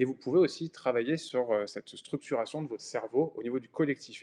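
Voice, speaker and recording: In a dry, close sound with no echo and a quiet background, a man talks at a fairly quick pace with a dark, mellow tone, fairly high pitch and ordinary pitch variation. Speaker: podcast host and independent designer. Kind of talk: solo podcast monologue. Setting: browser recording. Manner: spontaneous, many hesitations.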